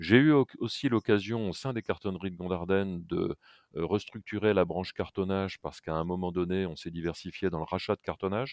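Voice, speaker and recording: The recording is dry and close with no echo, over a quiet background. A man with a very deep, low pitch talks at a fairly quick pace with ordinary pitch variation. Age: 60s. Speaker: packaging company executive. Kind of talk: interview.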